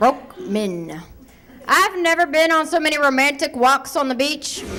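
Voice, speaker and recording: With a raised, projected voice, a woman speaks at a high pitch and a fairly slow pace, her intonation lively, against noticeable background noise. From Ohio, US. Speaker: stand-up comedian. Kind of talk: stand-up. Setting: stage with audience.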